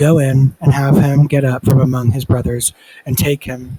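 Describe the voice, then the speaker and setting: Quiet and somewhat breathy, a man's voice sits at medium pitch with a dark, mellow tone, heard in a dry, close sound with no echo. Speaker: Bible reader. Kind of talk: reading aloud. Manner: halting, stumbles over names; quiet, subdued.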